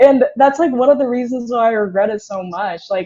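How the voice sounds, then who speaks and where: A woman speaks with ordinary pitch variation. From South Korea. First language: Korean. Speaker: podcast guest. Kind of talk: casual chat.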